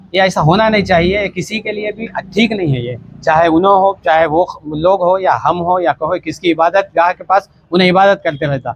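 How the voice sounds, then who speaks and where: This man's voice sits high for a man, with ordinary pitch variation and a dry, close sound with no echo. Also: moderate pace. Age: 60s. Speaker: mosque committee member. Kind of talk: interview statement.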